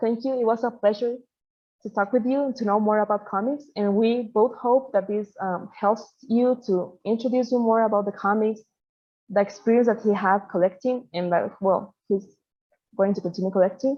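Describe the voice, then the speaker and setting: A woman speaks in a Spanish accent at a moderate pace. Her pitch is fairly high, with fairly even intonation. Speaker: interviewer. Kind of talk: interview.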